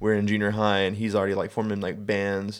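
A man with a Southern US accent and fairly low pitch, in a very clean recording with a silent background. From Alabama, Birmingham area. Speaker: podcast co-host, warehouse worker. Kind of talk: casual chat.

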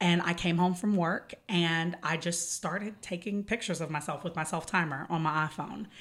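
A woman with an American accent has a plain, everyday voice at a fairly low pitch. Her pace is moderate and her intonation fairly even. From East Texas. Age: 30s. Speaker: model. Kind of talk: casual chat.

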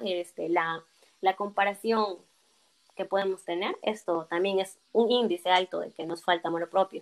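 The woman's intonation is monotone and flat. She talks at a moderate pace. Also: dry, close sound with no echo. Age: 20s. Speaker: psychology graduate. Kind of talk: interview.

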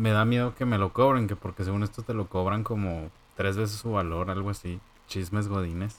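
This man has an unremarkable speaking voice with fairly low pitch. His intonation stays fairly even. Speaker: podcast co-host. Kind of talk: casual chat.

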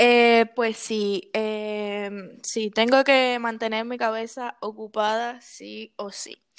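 On a very clean recording with a silent background, a woman speaks very slowly in a monotone, flat intonation. Her loudness swings widely. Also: fairly high pitch for a woman. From Cuba. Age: 20s. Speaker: artist. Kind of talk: interview.

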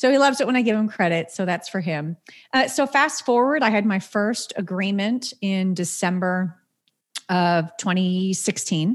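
At a moderate pace, a woman speaks in a medium pitch with an ordinary speaking voice, captured in a very clean recording with a silent background. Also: lively intonation. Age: 40s. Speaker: business owner of a placement and training firm. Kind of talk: podcast interview.

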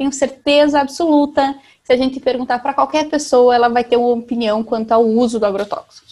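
This woman's voice sits high in pitch, with ordinary pitch variation. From Brazil, interior of Paraná (southwest). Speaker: environmental and agribusiness lawyer. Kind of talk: interview. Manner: hesitant, many fillers.

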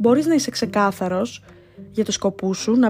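With music in the background, a woman speaks at a medium pitch and a moderate pace in an animated tone with lively intonation. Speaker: podcast host. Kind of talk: casual monologue.

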